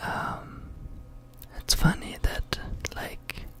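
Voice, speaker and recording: Against noticeable background noise, a man whispers at a very slow pace. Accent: German. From Germany. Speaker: ASMR content creator. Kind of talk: ASMR reading aloud from a book. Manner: whispered, relaxing.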